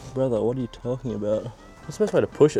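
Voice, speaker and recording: With music playing behind him, a man speaks in an Australian accent at medium pitch with ordinary pitch variation. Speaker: amateur DIY car mechanic. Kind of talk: casual talk to camera.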